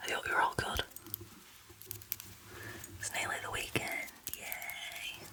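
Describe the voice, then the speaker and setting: A woman whispers in a relaxed tone at a very slow pace, with long, frequent pauses. Noticeable background noise sits behind her. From England. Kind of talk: ASMR chat. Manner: whispered; soft-spoken, relaxed.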